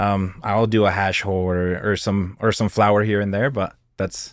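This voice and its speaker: A man with an American accent and a normal speaking voice talks at a fairly quick pace with hardly any pauses, his fairly low pitch held in fairly even intonation, in a very clean recording with a silent background. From New Mexico, US. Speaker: cannabis content creator and critic. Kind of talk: casual chat.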